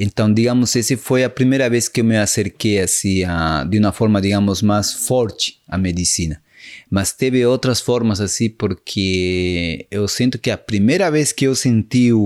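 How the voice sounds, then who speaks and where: A man talks at a fairly slow pace in a Spanish accent, with ordinary pitch variation. The recording is very clean, with a silent background and a dry, close sound with no echo. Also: very even loudness. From Peru, Cusco (Sacred Valley). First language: Spanish (speaking Portuguese). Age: 40s. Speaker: shaman, medicine man. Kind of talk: interview, spiritual storytelling. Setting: studio, in person.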